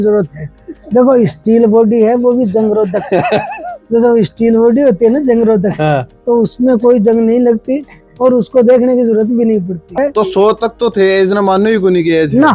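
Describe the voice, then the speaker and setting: A man is speaking. Music plays in the background. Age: 80s+. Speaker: lawyer and senior athlete. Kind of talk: interview answer.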